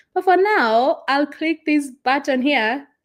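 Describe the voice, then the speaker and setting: A woman speaks at a very slow pace and a high pitch. Her intonation is lively. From Kenya. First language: Kikuyu. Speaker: travel vlogger. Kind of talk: live stream chat. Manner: casual, hesitant.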